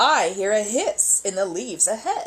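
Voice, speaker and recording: A woman's put-on character voice at medium pitch and a moderate pace. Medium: read story.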